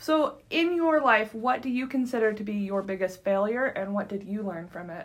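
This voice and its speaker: With an American accent and a normal speaking voice, a woman speaks at a fairly high pitch and moderate pace, using lively intonation and hardly any pauses. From US West, California. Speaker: college podcast host. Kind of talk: interview.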